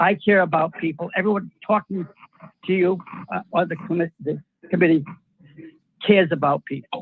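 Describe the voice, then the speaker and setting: Long, frequent pauses break up the speech of a high-pitched man with an American accent, who talks at a moderate pace with fairly even intonation. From Rhode Island, US. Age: 80s+. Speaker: housing authority chairman speaking at public comment. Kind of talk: public comment at online meeting. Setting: video call. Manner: halting, with false starts.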